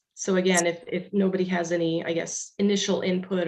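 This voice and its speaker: Fairly low in pitch, a woman's voice keeps its intonation fairly even. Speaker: county staff presenting to commissioners. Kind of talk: public meeting presentation. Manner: fast; hesitant, many fillers.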